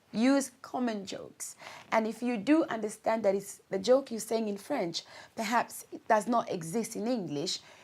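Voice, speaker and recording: Speaking at a moderate pace in a Congolese accent, a woman uses a fairly high pitch and lively intonation. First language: Lingala. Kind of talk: talk-to-camera advice video.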